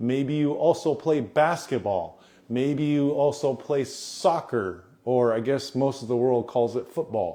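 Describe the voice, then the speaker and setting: Here a man talks at a fairly slow pace, pitched fairly high with ordinary pitch variation. His tone is dark and mellow. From United States, Japanese family. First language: Japanese. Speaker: volleyball coach. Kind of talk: live Q&A stream. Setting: Instagram live stream.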